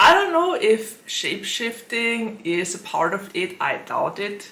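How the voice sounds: Amid audible room echo, a woman speaks at a fairly slow pace and medium pitch, her bright, sharp tone marked by big pitch swings.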